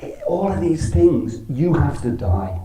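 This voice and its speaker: A man with an Irish accent is heard with audible room echo and noticeable background noise. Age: 60s. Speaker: temple speaker. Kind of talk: religious talk. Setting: temple with audience.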